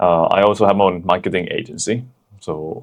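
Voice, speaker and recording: Speaking with a Thai accent, a man talks at a moderate pace. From Thailand. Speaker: podcast co-host, athlete and marketer. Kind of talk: casual chat.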